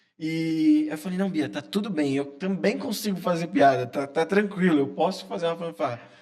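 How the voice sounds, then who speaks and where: A man with a fairly high pitch talks at a moderate pace with lively intonation over noticeable background noise. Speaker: sports journalist. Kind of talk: casual interview chat. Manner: quiet-spoken at times.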